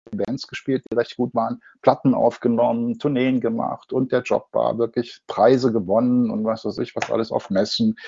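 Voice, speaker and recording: A man talks in a normal speaking voice at a medium pitch and moderate pace. His intonation is fairly even, with hardly any pauses. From Ruhr area, Germany. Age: 60s. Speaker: advertising agency owner and designer. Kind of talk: interview.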